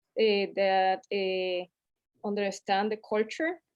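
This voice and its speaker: A woman with a Latin American accent at a fairly slow pace. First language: Spanish. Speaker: community health advocate. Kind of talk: panel discussion. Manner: halting, many fillers.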